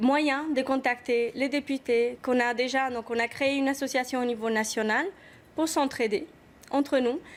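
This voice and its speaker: High-pitched woman in an Argentine accent at a moderate pace, fairly even intonation, on a very clean recording with a silent background. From Argentina. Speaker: activist mother. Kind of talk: TV talk show interview.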